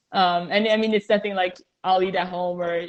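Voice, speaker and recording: A woman with a Montreal accent, fairly quick, monotone and flat, at a fairly low pitch. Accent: Canadian English, Montreal. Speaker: professional soccer goalkeeper. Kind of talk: interview.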